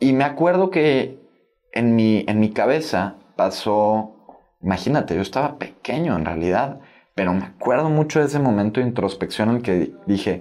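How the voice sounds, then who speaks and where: Lively intonation marks this man's medium-pitched voice as he speaks at a fairly slow pace. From Mexico (Tabasco, moved to Monterrey at 12). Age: 20s. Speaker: young entrepreneur and author. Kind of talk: casual interview.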